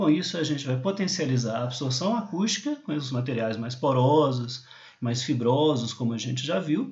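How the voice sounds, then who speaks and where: A man's fairly high voice at a moderate pace, lively in intonation and somewhat breathy, with audible room echo. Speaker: university lecturer. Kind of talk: lecture. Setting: recorded remote class over slides.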